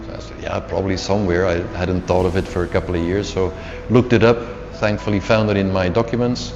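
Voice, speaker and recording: A man with a very deep, low voice and a Flemish accent, talking at a very fast pace over music in the background. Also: ordinary pitch variation. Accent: Flemish Dutch accent in English. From Belgium (Flanders, Antwerp). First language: Dutch. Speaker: CEO, leadership coach and author. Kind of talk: interview. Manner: repetitive false starts.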